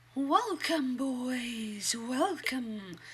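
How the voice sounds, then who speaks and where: A female-sounding put-on character voice cackles at a high pitch. There is clear background noise. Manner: cackling, merry.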